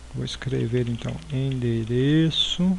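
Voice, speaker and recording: The speech comes at a very slow pace. Audible room echo fills the recording. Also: man. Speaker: programming teacher. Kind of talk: tutorial. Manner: halting, many fillers.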